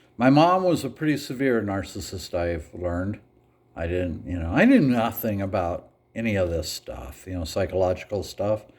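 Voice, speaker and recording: Moderate-paced speech from a man with a fairly low, somewhat breathy voice and lively intonation. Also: very clean recording, silent background. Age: 60s. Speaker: vlogger. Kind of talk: casual monologue. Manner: casual, hesitant with fillers.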